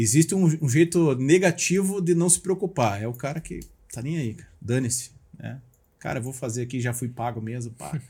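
Man's medium-pitched voice, dark and mellow in tone and somewhat breathy, with lively intonation and big swings in loudness at a moderate pace, on a very clean recording with a silent background. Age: 40s. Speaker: motivational speaker. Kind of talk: casual chat.

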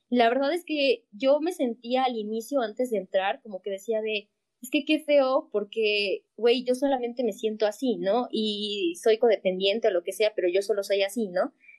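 A woman speaks in an unremarkable speaking voice at a moderate pace, her fairly high pitch moving with ordinary variation and hardly any pauses. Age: young (19). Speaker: podcast co-host, student. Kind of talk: casual chat.

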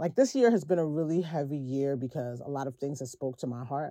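This voice has a dark, mellow tone and ordinary pitch variation, with a New York accent. The recording is very clean, with a silent background. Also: woman. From US, Brooklyn, New York. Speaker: film composer and musician. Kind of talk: interview.

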